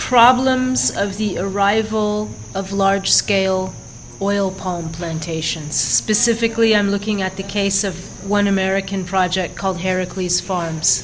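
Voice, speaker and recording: A woman talks fairly slowly while noticeable noise sits in the background. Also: medium pitch for a woman, ordinary pitch variation. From California, United States. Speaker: journalist and documentary filmmaker. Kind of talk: interview answer.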